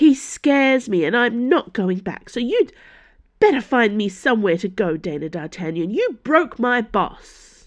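A female-sounding, put-on character voice with a fairly high pitch moves at a moderate pace over a quiet background. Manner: snappish, indignant.

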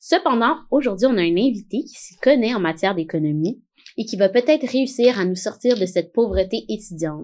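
Speaking at a fairly quick pace, a woman with a fairly high pitch swings very widely in pitch and shows big swings in loudness. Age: 20s. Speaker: podcast host. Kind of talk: casual chat.

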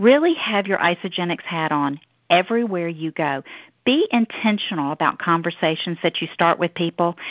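A woman speaks with a Southern US accent at a moderate pace. Her pitch is fairly low, with ordinary pitch variation. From US South. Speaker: network marketing leader. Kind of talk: team call presentation. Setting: phone call.

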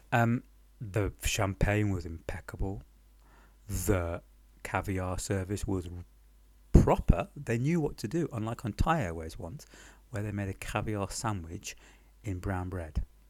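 The speaker has a British accent and lively intonation. The pace is fairly slow, with long, frequent pauses. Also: man, fairly low pitch for a man, very clean recording, silent background. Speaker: podcast storyteller. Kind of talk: casual personal storytelling. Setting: temporary apartment in Paris, recorded on the move, ambient noise. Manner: halting, many pauses and fillers; wry, self-deprecating, humorous.

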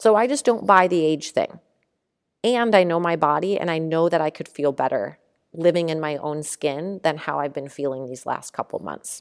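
Recorded very cleanly with a silent background, a woman with a fairly low pitch talks at a moderate pace in an ordinary speaking voice, her intonation lively. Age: 40s. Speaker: podcast host, life coach. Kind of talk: solo podcast with guided journaling exercises. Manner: casual, conversational.

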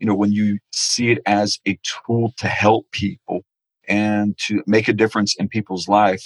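With an American accent, a man speaks in an unremarkable speaking voice at a medium pitch and moderate pace, with a dry, close sound and no echo. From Florida, Naples. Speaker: internet marketing expert. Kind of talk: interview conversation.

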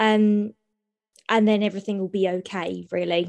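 A woman in a southern English accent speaks with monotone, flat intonation. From southern England, Sutton (London). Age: 20s. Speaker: university student. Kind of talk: interview testimony.

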